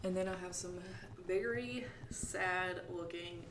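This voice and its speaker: A woman speaks at medium pitch in a Southern US accent. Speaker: plant vlogger, Pinterest marketer. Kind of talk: casual talk to camera. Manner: upbeat, chatty.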